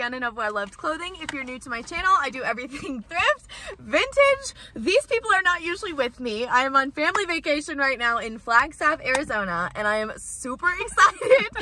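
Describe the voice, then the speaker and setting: Projecting her voice at a fairly quick pace, a woman swings widely in loudness, the sound dry with no echo and light background noise. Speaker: thrift vlogger. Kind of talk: casual vlog chat. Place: car. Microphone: phone near.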